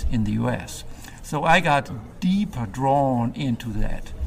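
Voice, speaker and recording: A man with a medium pitch speaks at a very slow pace. Noticeable background noise runs behind him. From Germany. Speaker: film noir website creator. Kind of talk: casual interview. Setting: recorded in a theater mezzanine with background noise.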